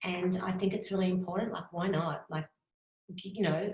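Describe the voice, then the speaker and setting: Speaking fairly quickly with an Australian accent, a woman has a medium-pitched voice, and audible room echo surrounds it. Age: 50s. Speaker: graphic designer. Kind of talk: interview. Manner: fast.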